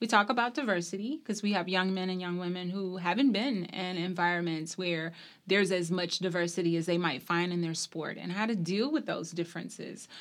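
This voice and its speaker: In an American accent, a woman with an ordinary speaking voice talks at a medium pitch and a fairly quick pace, with ordinary pitch variation and hardly any pauses. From US South, small-town Mississippi. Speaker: university athletics administrator. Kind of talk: interview.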